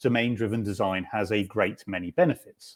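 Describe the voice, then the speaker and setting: A man with a British accent talks at a moderate pace, his medium pitch showing ordinary variation. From UK. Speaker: software developer, conference speaker. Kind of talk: technical talk. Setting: video call from home.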